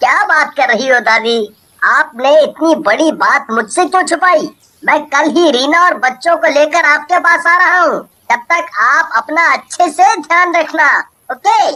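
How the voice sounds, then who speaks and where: A woman puts on a cartoonish character voice with a high pitch. She speaks at a moderate pace with lively intonation. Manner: earnest.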